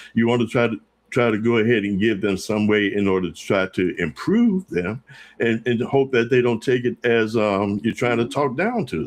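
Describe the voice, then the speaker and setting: A man talks at a moderate pace and medium pitch with ordinary pitch variation. He has a plain, everyday voice. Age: 60s. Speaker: gospel radio station owner. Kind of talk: interview.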